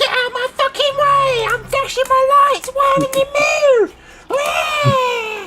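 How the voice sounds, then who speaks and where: Someone shouts in a put-on character voice at an extremely high pitch. The pace is fairly slow, with light background noise. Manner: angry, shouting.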